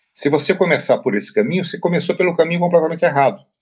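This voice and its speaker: A man speaks with vocal fry. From Brazil, interior of Paraná. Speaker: writing teacher and author. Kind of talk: interview. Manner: hesitant, with frequent filler repetitions.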